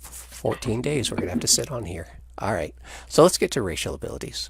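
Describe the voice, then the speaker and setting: This man's fairly low voice carries vocal fry and swings very widely in pitch. He speaks at a fairly quick pace, with big swings in loudness. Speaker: game designer presenting new rules. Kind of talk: video call rules discussion. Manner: fast.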